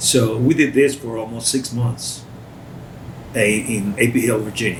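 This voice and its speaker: Over noticeable background noise and audible room echo, a man at medium pitch talks at a fairly slow pace with fairly even intonation. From Costa Rica. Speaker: war veteran. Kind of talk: interview. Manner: halting.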